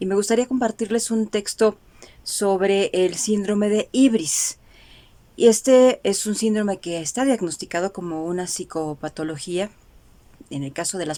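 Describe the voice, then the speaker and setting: In a medium pitch with a dark, mellow tone, a woman talks at a moderate pace with ordinary pitch variation. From Mexico. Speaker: journalist and radio announcer. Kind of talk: casual talk to camera.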